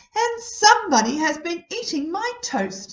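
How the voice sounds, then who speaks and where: An extremely high, squeaky put-on character voice swings very widely in pitch. The pace is moderate. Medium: read story.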